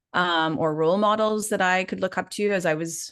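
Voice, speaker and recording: Against a quiet background, the speaker talks at a fairly slow pace with fairly even intonation and a slight Canadian accent. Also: woman. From Canada. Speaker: life and business coach. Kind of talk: live webinar training.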